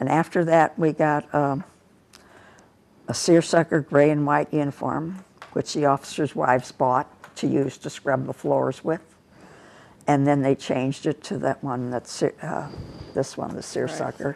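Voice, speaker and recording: With a Midwestern American accent, a woman speaks at a fairly slow pace in a very deep, low pitch with vocal fry and long, frequent pauses. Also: fairly even intonation. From US Midwest, St. Louis. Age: 80s+. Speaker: war veteran. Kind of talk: interview. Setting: office.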